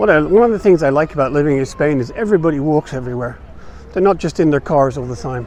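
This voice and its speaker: A man rattles off words at a very fast pace while noticeable background noise carries on. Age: 60s. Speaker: vlogger. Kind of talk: walking tour vlog. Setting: outdoors. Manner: casual, halting.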